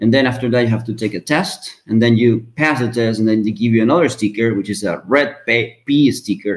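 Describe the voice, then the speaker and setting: Speaking at a fairly quick pace with hardly any pauses, a man with a Spanish accent holds a medium pitch and ordinary pitch variation. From Venezuela. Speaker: mechanical engineer. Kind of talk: interview. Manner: hesitant, many fillers.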